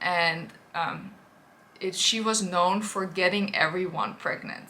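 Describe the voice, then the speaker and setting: A woman with a Dutch accent speaks at a moderate pace in a medium pitch, her tone bright and sharp, with audible room echo. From Netherlands. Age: 30s. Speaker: influencer. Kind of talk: personal testimony vlog. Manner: hesitant, many fillers.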